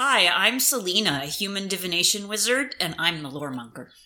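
The put-on character voice moves along at a fairly quick pace. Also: woman, medium pitch for a woman. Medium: actual play.

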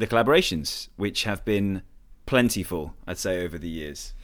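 In a very clean recording with a silent background, a man speaks at a fairly quick pace in an unremarkable speaking voice. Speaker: podcast host. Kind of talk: scripted intro then casual interview. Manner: polished, upbeat radio-presenter patter.

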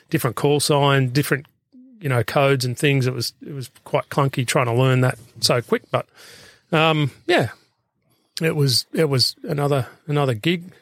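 A man with an Australian accent, fairly high-pitched, at a moderate pace with fairly even intonation and long, frequent pauses, in a dry, close sound with no echo. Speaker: former police rescue officer and firefighter. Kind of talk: casual interview. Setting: in a van. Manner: halting.

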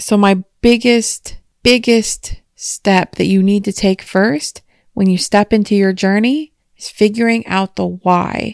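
Dry and close with no echo, a woman with an unremarkable speaking voice talks at a fairly slow pace in a medium pitch with fairly even intonation. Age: 30s. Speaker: self-help podcaster. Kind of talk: solo monologue. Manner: casual, conversational.

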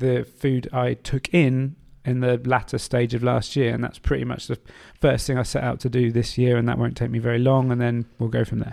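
A man's medium-pitched voice at a fairly quick pace, with monotone, flat intonation. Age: 30s. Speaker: podcast host. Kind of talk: casual chat.

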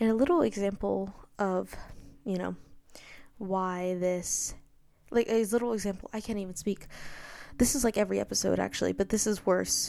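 A soft-spoken woman at a moderate pace with long, frequent pauses, in a very clean recording with a silent background. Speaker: podcast host. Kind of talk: solo monologue. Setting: home bedroom.

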